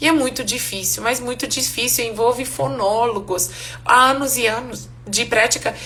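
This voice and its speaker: With noticeable background noise, a woman talks at a moderate pace and a fairly high pitch with ordinary pitch variation. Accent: non-native. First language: Hungarian (speaking Portuguese). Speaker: English teacher. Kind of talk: live online class. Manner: casual, conversational.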